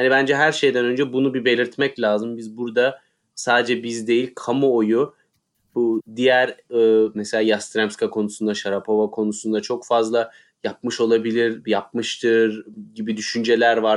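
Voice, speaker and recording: Speaking at a moderate pace, a man uses a medium pitch. His intonation is monotone and flat, against a quiet background. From Turkey. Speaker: tennis podcast co-host. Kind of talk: casual chat.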